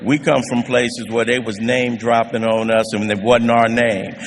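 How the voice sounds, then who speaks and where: A man speaks at a medium pitch, with noticeable background noise and audible room echo. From US West Coast (South Central Los Angeles). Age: 70s. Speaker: recovery speaker. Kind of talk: testimony. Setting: stage with audience.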